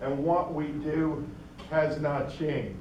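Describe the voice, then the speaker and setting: A man speaks at a fairly slow pace with a fairly high pitch, and the recording carries audible room echo and noticeable background noise. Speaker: state park manager and guest speaker. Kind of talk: lecture. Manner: loud.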